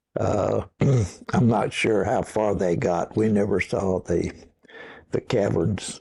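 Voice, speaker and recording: Speaking very slowly with long, frequent pauses, a man with an American accent keeps a fairly low pitch, fairly even intonation and very even loudness. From Oklahoma, Osage County. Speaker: war veteran. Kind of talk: oral history interview. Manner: halting, with repetitions.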